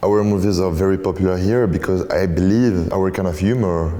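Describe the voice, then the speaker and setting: A man speaks at a very deep, low pitch with fairly even intonation. The recording carries noticeable background noise and audible room echo. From France. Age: young. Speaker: guest. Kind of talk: casual interview. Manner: halting.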